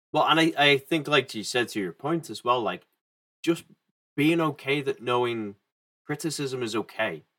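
A man with an English accent speaks in a bright, sharp tone at a fairly high pitch with ordinary pitch variation. His pace is moderate, broken by long, frequent pauses. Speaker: podcast host. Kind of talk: casual chat.

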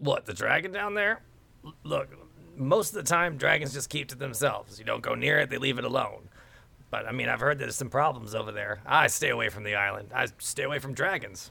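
A man puts on a raspy character voice, fairly high in pitch. He speaks at a fairly quick pace. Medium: actual play. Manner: casual, gossipy.

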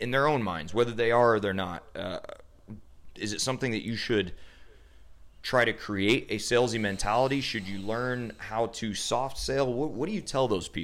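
Speaking at a moderate pace, a man has an ordinary speaking voice at medium pitch with ordinary pitch variation. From US Midwest (central Illinois). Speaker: podcast host, chiropractor. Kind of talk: casual interview.

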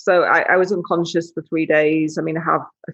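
In a Yorkshire accent, a woman with a very deep, low pitch speaks at a fairly quick pace. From northern England, West Yorkshire. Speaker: adventurer and wheelchair user. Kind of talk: interview, casual chat.

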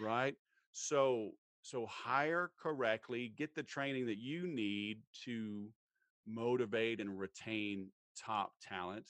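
With a Southern US accent, a man speaks at a very slow pace in a dry, close sound with no echo. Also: medium pitch for a man, ordinary pitch variation, quiet background. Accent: Southern American. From US South. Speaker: sales trainer. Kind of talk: interview. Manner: animated.

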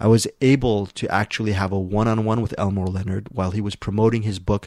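A plain, everyday voice from a man, fairly low in pitch and fairly even in intonation, at a fairly quick pace on a very clean recording with a silent background. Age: 40s. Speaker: film critic. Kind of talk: casual chat.

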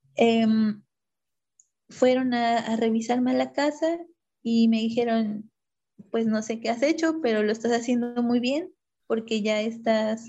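A woman's fairly high voice, fairly slow and with fairly even intonation. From Oaxaca, Mexico. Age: 30s. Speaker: mother sharing birth story. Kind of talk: interview, personal testimony. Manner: halting, many repetitions and fillers.

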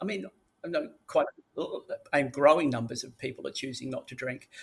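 A man speaks with an Australian accent. He keeps a fairly quick pace. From Sydney, Australia. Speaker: drug education expert. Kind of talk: interview.

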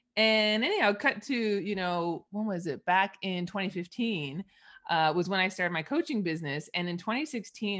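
Fairly low-pitched woman's voice with a slight Canadian accent, lively intonation, and a moderate pace against a quiet background. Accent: Canadian English, mild. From Eastern Canada. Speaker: money mindset coach. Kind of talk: casual interview.

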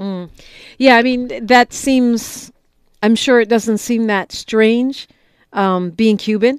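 A woman with an American accent speaks at a very slow pace with long, frequent pauses, a fairly high pitch and fairly even intonation, recorded dry and close with no echo on a very clean recording with a silent background. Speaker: radio talk show host. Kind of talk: radio interview. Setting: studio.

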